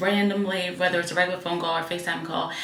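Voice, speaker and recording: With noticeable background noise and audible room echo, a woman talks at a medium pitch. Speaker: flight attendant vlogger. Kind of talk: casual vlog talk. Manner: chatty, filler-heavy.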